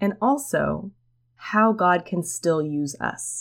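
Her intonation lively and her pitch fairly low, a woman talks in a plain, everyday voice. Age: 20s. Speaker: podcast host, former history teacher.

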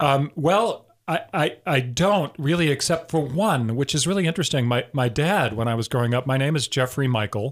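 With an American accent, a man speaks at a moderate pace with a fairly high pitch, lively intonation and a somewhat breathy sound. The recording is very clean, with a silent background. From southern Wisconsin. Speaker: theater artistic director. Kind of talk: radio interview. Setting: radio studio.

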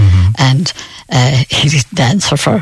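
A woman speaks in a western Irish accent, with noticeable background noise behind her. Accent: rural west of Ireland. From Ireland, County Roscommon. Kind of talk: radio interview, reminiscing. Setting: radio studio.

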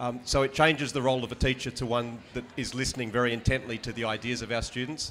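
With an Australian accent, a man speaks at a very fast pace. His medium pitch carries monotone, flat intonation. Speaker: high school history teacher. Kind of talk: panel discussion.

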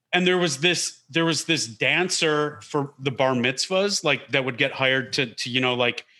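A man speaks in an American accent, his tone bright and sharp and his pitch fairly high, with ordinary pitch variation. He keeps a moderate pace on a very clean recording with a silent background. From Detroit area, Michigan (West Bloomfield). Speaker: comedian. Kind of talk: casual interview chat.

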